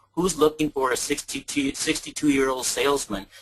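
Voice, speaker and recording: In a plain, everyday voice, a man speaks at a moderate pace with fairly high pitch and ordinary pitch variation. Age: 60s. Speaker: salesman. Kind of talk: testimony.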